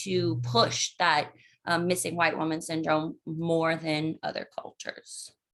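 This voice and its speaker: A woman with an American accent speaks at a fairly low pitch and a fairly slow pace. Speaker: psychology researcher, professor. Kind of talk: lecture. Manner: halting.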